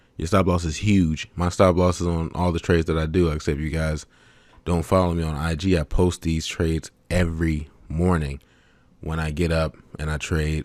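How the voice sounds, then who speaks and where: In a very clean recording with a silent background, a man with a very deep, low pitch speaks at a moderate pace in a monotone, flat intonation. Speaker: forex trading educator. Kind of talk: tutorial. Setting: webcam recording. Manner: low, sometimes mumbling.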